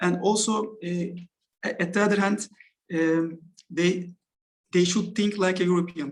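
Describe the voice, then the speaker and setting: Speaking with a Turkish accent at a high pitch, a man keeps a monotone, flat intonation at a moderate pace, broken by long, frequent pauses. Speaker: football coach. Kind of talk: interview. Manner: halting.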